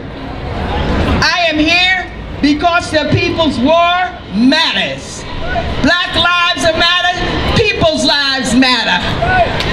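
A woman with an American accent, extremely high-pitched with ordinary pitch variation and very even loudness, at a very slow pace over noticeable background noise. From New Jersey. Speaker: poet and activist; poet. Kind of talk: rally speech. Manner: rhythmic, declamatory. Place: street.

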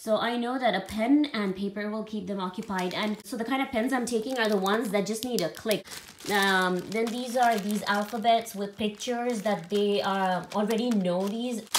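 A woman talks at a moderate pace with fairly even intonation over light background noise. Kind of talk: casual vlog chat. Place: home room. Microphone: phone near.

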